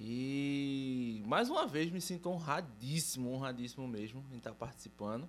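Audible room echo colors the sound as a man speaks at medium pitch and a moderate pace. He uses ordinary pitch variation, with hardly any pauses. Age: 30s. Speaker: metal drummer. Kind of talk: casual chat.

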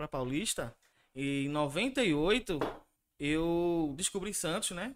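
In a very clean recording with a silent background, a man with a Pernambuco accent talks at a high pitch. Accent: Pernambuco Brazilian Portuguese. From Recife, Pernambuco, Brazil. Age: 30s. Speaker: tattoo artist and illustrator. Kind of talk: interview. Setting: live-streamed podcast studio.

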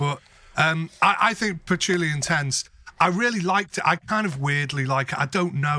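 The speaker has a British accent and talks at a moderate pace. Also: man. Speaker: podcast co-host. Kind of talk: casual banter chat.

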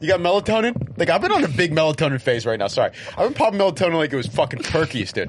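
There is noticeable background noise behind the speaker. A man talks in a fairly high pitch with very wide pitch swings. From Ethiopian heritage. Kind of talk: casual chat.

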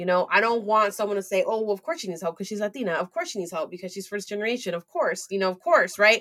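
A woman's medium-pitched voice with lively intonation at a very fast pace. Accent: American. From US West Coast, San Francisco Bay Area. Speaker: entrepreneur and community founder. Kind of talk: interview.

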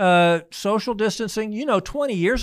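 This is a normal speaking voice with lively intonation at a fairly quick pace. The recording is very clean, with a silent background. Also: man. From US Midwest, Missouri-born, moved often. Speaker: physician. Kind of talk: interview.

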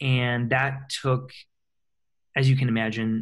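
On a very clean recording with a silent background, a man with an American accent speaks at medium pitch and a fairly slow pace, somewhat breathy and monotone. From US Midwest, small-town Michigan. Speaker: personal development coach and author. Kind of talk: interview, personal story.

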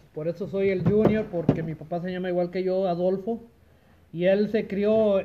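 This man speaks with a high pitch. His intonation is fairly even. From Los Angeles area, California. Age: 40s. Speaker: used car dealer. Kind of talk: casual chat. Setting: at home with family around.

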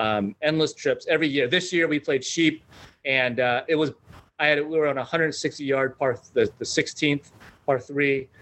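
Fairly slow and with fairly even intonation, the delivery comes in an unremarkable speaking voice. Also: man. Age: 50s. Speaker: golfer. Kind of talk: casual chat.

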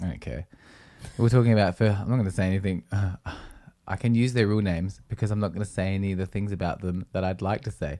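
A man with an Australian accent, a dark, mellow tone, and a fairly low pitch, talking very fast with ordinary pitch variation, on a very clean recording with a silent background. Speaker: podcast co-host and musician. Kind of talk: casual chat. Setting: live-streamed video recorded at home.

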